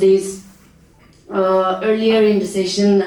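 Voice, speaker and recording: Very slow delivery over noticeable background noise. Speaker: community radio station manager. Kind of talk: workshop presentation. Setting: workshop hall with audience, microphone. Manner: halting, many fillers.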